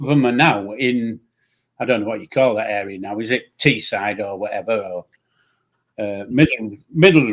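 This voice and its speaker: In a Yorkshire accent, a man speaks with ordinary pitch variation and big swings in loudness. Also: medium pitch for a man, moderate pace. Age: old. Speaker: online show host. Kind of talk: casual chat. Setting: live stream.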